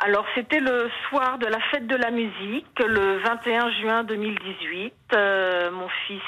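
Very slow speech from a woman, fairly high in pitch, its pitch varying in an ordinary way. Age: 60s. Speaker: caller, mother of injured son. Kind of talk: testimony.

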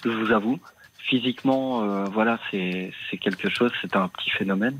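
At a fairly slow pace, a man speaks with medium pitch and ordinary pitch variation. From Belgium, Liège. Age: 40s. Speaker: radio caller. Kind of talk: phone-in testimony.

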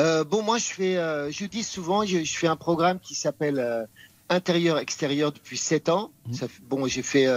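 This man talks with lively intonation. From France. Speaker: chef and TV personality. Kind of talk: interview.

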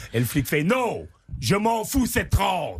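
A man's very slow delivery with vocal fry and very wide pitch swings. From Belgium. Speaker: comedian. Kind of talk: joke telling.

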